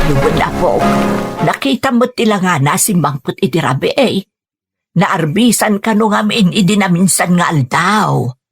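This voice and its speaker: Someone uses a put-on character voice at a middle pitch and a fairly slow pace. Faint music plays in the background. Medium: audio drama. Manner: gentle, soft-spoken.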